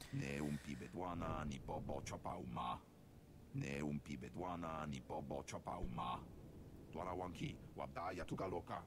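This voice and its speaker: Over loud background noise, someone uses a put-on character voice at a moderate pace. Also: man. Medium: video game. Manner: speaks alien gibberish language.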